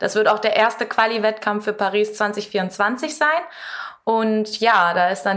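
Noticeable background noise sits under a woman speaking at a moderate pace, her fairly high pitch held in fairly even intonation. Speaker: competitive climber. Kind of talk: interview. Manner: clear, composed.

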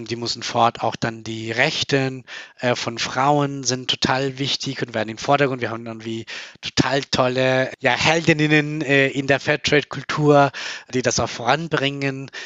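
Fairly even intonation marks a man's medium-pitched voice. His pace is fairly slow. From Colombia. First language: Spanish (speaking German). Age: 30s. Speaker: company founder. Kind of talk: interview. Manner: hesitant with many fillers.

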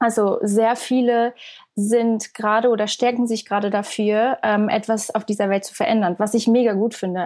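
A woman's dark, mellow voice in a monotone, flat intonation. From Switzerland. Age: 20s. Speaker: singer and content creator. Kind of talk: interview conversation.

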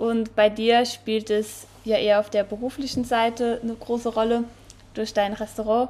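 A woman with fairly high pitch speaks at a moderate pace in a monotone with flat intonation. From Saarland, St. Wendel district. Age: 20s. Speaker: podcast co-host and student. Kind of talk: casual chat.

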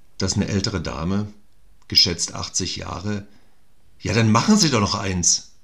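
A man's very deep, low voice moves at a fairly slow pace. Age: 50s. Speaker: actor. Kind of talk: casual chat.

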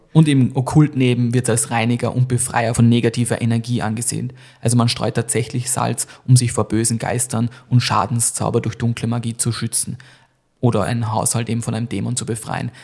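A man's medium-pitched, somewhat breathy voice, monotone and flat in intonation, at a fairly quick pace. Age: 30s. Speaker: podcast host. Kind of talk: casual chat; scripted storytelling narration.

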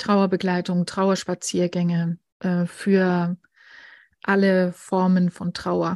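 A woman speaks at a medium pitch and a very slow pace in a monotone, flat intonation, recorded dry and close with no echo against a quiet background. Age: 40s. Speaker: grief counsellor and editor. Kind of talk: interview about personal grief.

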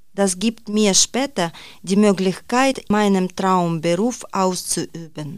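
With ordinary pitch variation, a woman speaks at a very slow pace and a medium pitch. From Ukraine. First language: Ukrainian or Russian (speaking German). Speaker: graphic designer, course participant. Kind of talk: reading aloud.

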